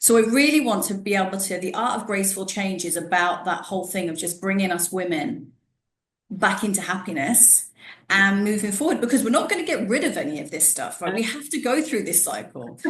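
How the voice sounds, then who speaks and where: Somewhat breathy, a woman speaks at a medium pitch and a fairly quick pace. Her pitch swings very widely. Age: 40s. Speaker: podcast host, wellness professional. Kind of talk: casual interview chat. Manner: conversational, with false starts.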